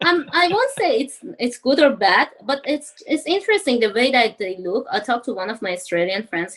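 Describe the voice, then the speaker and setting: Over noticeable background noise, a high-pitched woman talks at a moderate pace with very wide pitch swings and hardly any pauses. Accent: Iranian. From Iran. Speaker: university student, former engineer. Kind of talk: interview podcast.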